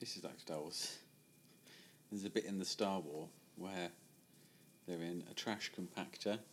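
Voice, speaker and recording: Spoken at a moderate pace with fairly even intonation in a British accent, broken by long, frequent pauses. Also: man, very deep, low pitch for a man. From UK. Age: 30s. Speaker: mentalist. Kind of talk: casual chat.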